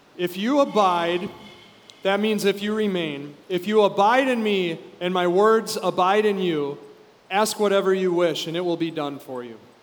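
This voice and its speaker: With noticeable background noise and audible room echo, a man speaks at a moderate pace in a high pitch with ordinary pitch variation. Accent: American. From US, Minnesota. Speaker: pastor. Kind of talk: sermon with interpreter.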